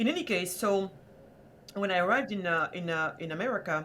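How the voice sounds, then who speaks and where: A woman speaks in a French accent with a fairly low pitch and ordinary pitch variation. Background noise is noticeable. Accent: French, formerly thick, now lighter. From Senegal. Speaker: entrepreneur and prosperity activist. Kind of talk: podcast interview.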